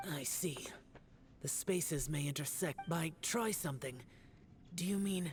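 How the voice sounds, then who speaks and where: This speaker uses a put-on character voice at a middle pitch and a moderate pace, with long, frequent pauses. Background noise is clearly audible. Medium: video game. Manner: terse, sighing, withdrawn.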